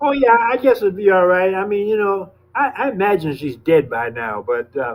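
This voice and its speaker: The speech moves at a moderate pace. Its pitch swings very widely. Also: man. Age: 80s+. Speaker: former radical activist. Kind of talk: interview. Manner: halting, repetitive.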